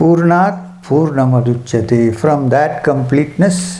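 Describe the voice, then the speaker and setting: Speaking very slowly, a man uses lively intonation and a fairly high pitch. Audible room echo and noticeable background noise surround him. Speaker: spiritual teacher. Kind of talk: spiritual talk at a retreat. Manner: soft-spoken.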